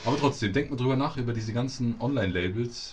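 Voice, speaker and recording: A medium-pitched man speaks with a somewhat breathy voice. His pace is fairly quick, with ordinary pitch variation. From Munich, Bavaria. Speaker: podcast co-host. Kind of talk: casual chat. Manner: animated.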